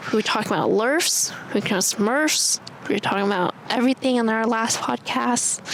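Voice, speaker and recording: At a fairly quick pace, a woman talks with very even loudness while noticeable background noise runs underneath. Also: ordinary pitch variation. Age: young. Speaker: podcast co-host. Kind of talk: casual chat. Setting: outdoors. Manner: animated.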